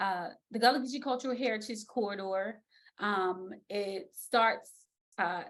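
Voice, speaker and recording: Speaking at a fairly slow pace with an American accent, a woman has a medium pitch and an unremarkable speaking voice. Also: ordinary pitch variation. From South Carolina Lowcountry. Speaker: speech language pathologist, educator. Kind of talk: virtual lecture. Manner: casual, conversational.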